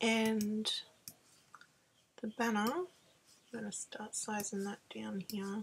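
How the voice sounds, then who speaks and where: A somewhat breathy woman talks at a very slow pace with ordinary pitch variation. Her pauses are long and frequent. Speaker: card maker. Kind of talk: screen-recorded craft tutorial.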